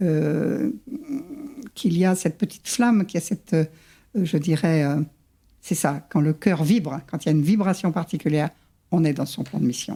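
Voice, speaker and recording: On a very clean recording with a silent background, a woman with a fairly low pitch and a dark, mellow, somewhat breathy tone talks at a moderate pace with ordinary pitch variation and long, frequent pauses. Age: 70s. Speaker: psychogenealogist. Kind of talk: interview.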